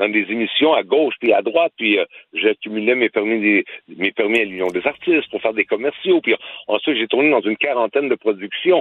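Lively intonation marks this man's voice. He speaks at a fairly quick pace. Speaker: actor and former boxer. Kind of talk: radio interview. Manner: halting.

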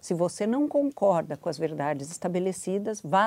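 On a very clean recording with a silent background, a woman talks at a moderate pace. She has a fairly low pitch and a normal speaking voice. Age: 60s. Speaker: education policy expert. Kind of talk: interview. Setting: studio.

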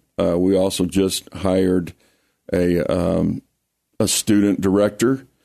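In an American accent, a man with a fairly low pitch speaks in a dark, mellow tone. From US South, Lake Charles, Louisiana (Cajun). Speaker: pastor and high school football coach. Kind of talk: interview testimony. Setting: radio studio.

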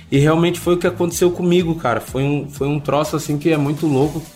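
Somewhat breathy, a man with a fairly high pitch speaks with ordinary pitch variation. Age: 20s. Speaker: reality show ex-contestant. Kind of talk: interview. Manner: casual, hesitant with fillers.

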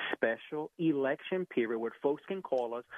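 A man's fairly high voice, an ordinary speaking voice with lively intonation. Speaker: licensed Medicare insurance agent. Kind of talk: sponsored segment pitching Medicare enrollment help. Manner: eager, polite.

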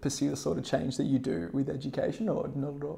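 This man's voice has a dark, mellow tone and sits fairly high in pitch. He talks at a very fast pace. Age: 20s. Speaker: podcast co-host, university student. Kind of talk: interview.

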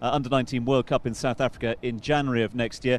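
At a fairly quick pace, a man speaks in a plain, everyday voice of medium pitch with fairly even intonation. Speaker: radio host.

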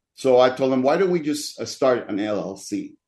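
This is a man with a Spanish accent. His pitch is medium. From Dominican Republic. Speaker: pastor. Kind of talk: interview, personal testimony.

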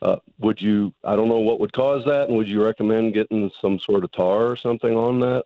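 A man's plain, everyday voice at medium pitch, fairly quick and with hardly any pauses, very even in loudness and fairly even in intonation. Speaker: caller. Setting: phone call.

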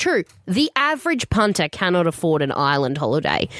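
A woman with an Australian accent speaks with very wide pitch swings in a dry, close sound with no echo. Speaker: radio host. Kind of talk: casual chat.

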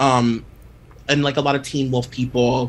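A somewhat breathy quality marks this man's voice. He talks at a moderate pace. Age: 30s. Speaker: podcast host on celebrity gossip. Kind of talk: casual interview chat.

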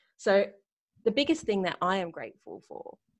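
A medium-pitched woman's voice with an Australian accent at a fairly quick pace over a quiet background. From Australia, Sydney. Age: 40s. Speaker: retail business coach. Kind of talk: interview.

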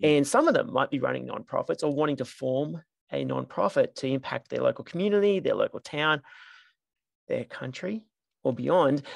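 An Australian accent against a quiet background. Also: moderate pace. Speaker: podcast host. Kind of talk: interview.

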